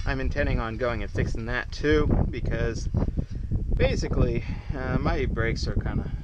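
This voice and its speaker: Noticeable background noise accompanies a man speaking at a moderate pace, with a dry sound and no echo. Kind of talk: tutorial. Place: garage. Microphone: camera far.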